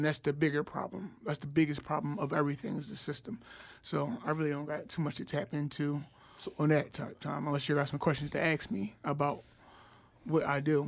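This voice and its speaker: This man speaks fairly quickly with an American accent. His is an ordinary speaking voice, fairly high in pitch. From North Philadelphia. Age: young. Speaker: school health worker. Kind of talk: casual chat.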